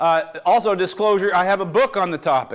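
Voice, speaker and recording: A man with an American accent speaks at a moderate pace with ordinary pitch variation. The recording is very clean, with a silent background. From western US. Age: 60s. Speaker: professor of medicine. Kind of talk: lecture.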